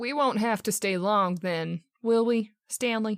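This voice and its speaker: In a put-on character voice, a woman speaks at a fairly slow pace with a nervous, anxious tone. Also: very clean recording, silent background. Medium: audio drama.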